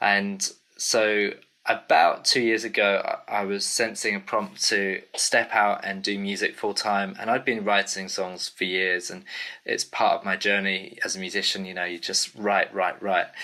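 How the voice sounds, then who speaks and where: A man with an English accent at a moderate pace. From UK. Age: 30s. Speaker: singer-songwriter. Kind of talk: casual interview chat. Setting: video call.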